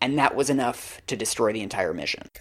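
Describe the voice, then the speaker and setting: A man's voice with vocal fry. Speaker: reporter and podcast co-host. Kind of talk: casual chat.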